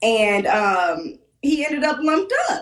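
A woman speaks slowly with a fairly high pitch. Some room echo can be heard. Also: lively intonation.

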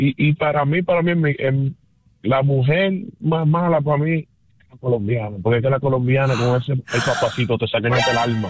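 A man speaks at medium pitch. His pace is moderate. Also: ordinary pitch variation.

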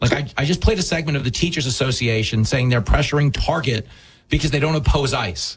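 A man with a New York accent at a fairly quick pace, medium pitch and ordinary pitch variation

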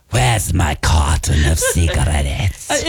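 Over faint music in the background, a man performs a put-on character voice at a very deep, low pitch. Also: fairly slow pace. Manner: gruff, tough.

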